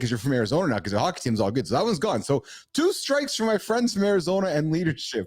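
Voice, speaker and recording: With a Canadian Prairies accent, a man talks at a very fast pace in a high pitch, his animated tone carrying very wide pitch swings while his loudness stays very even. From Manitoba, Canada (Winnipeg). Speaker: podcast host. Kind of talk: casual interview chat.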